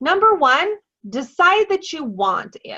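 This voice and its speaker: A woman projects a raised voice with a bright, sharp tone, very wide pitch swings and a fairly slow pace. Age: adult, parent. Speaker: network marketing team leader. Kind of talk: motivational training call.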